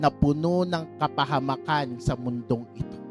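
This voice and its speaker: Music plays in the background. The speech moves at a fairly slow pace. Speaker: preacher. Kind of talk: sermon preaching.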